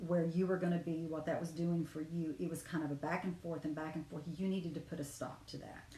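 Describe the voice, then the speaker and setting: A somewhat breathy, dark and mellow voice at a fairly quick pace, monotone and flat, with hardly any pauses. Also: woman, fairly low pitch for a woman. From Cherokee community, US. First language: Cherokee. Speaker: dream interpreter. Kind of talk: dream interpretation session. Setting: livestream.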